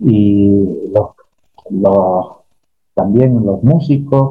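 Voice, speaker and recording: His voice carries some breathiness. The man's pitch moves in an ordinary way. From Spain. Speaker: historian and songwriter. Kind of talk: interview. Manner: halting.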